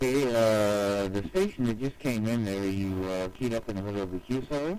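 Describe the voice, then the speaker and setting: A man's fairly low-pitched voice with ordinary pitch variation, over noticeable background noise. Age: 60s. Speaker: amateur radio operator. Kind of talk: ham radio contact exchange. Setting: amateur radio transmission. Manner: formal.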